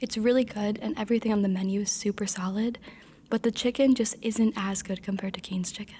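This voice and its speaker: A woman speaks at a fairly quick pace in a fairly high pitch, her voice somewhat breathy, her tone dark, mellow and relaxed. Her intonation stays fairly even. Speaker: content creator. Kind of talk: ASMR mukbang, casual talk to camera while eating. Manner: soft-spoken, relaxed.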